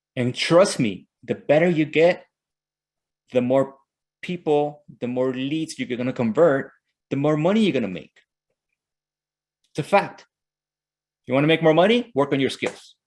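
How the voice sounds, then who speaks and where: The speaker has a strong Mexican accent and lively intonation. There are long, frequent pauses. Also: man, fairly high pitch for a man, moderate pace. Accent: Mexican Spanish accent, thick. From Mexico. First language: Spanish. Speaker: real estate team leader and sales coach. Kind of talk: motivational training session. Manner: animated.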